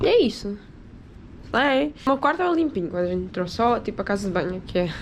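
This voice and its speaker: Her pitch swinging very widely, a woman talks at medium pitch and a fairly quick pace in an animated tone. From Portugal. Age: 20s. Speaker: vlogger. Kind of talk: casual travel vlog.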